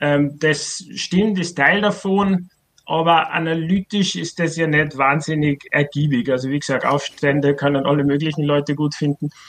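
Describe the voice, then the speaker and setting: Speaking with an Austrian accent, a man uses a fairly high pitch. His intonation is fairly even and his pace moderate. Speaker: writer and author on socialist theory. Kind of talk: casual discussion. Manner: halting, many fillers.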